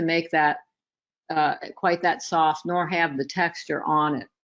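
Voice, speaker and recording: This is a woman's voice. She speaks at a fairly slow pace. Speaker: photography instructor. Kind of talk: tutorial. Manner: halting, repeats words.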